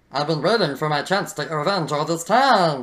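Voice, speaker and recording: The speaker uses a put-on character voice at a middle pitch. The pace is fairly quick. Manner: comical, consistent silly voice.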